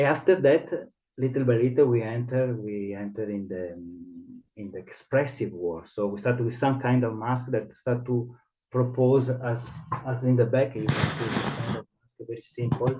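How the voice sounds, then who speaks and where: A man speaks with an Italian accent at a medium pitch. His pace is moderate, and his loudness swings widely. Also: ordinary pitch variation. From Italy. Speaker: theatre director and mask teacher. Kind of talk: interview. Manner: halting.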